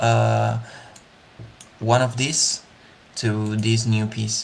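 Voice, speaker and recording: Someone with a Spanish accent talks at a very slow pace. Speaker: digital 3D artist. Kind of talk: live art tutorial / creative walkthrough. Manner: hesitant, many fillers.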